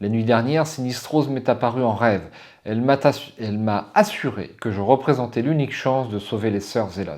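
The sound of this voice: The unforced reading voice moves through ordinary pitch variation.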